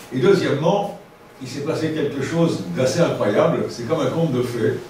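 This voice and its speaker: A man at a fairly high pitch and moderate pace with ordinary pitch variation, amid noticeable background noise and audible room echo. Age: 70s. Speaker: radio station director. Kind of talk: talk to an audience. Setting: evening talk with audience. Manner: halting, many hesitations.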